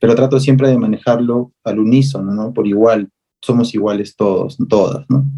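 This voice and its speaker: Medium in pitch, a man's voice carries a dark, mellow tone. His intonation stays fairly even. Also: moderate pace. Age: 30s. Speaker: visual artist and activist. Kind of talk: interview.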